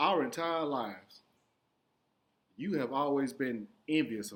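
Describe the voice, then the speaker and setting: The speaker is a man with a fairly high pitch. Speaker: vlogger addressing his sister. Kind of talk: personal monologue to camera. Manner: emphatic, confrontational.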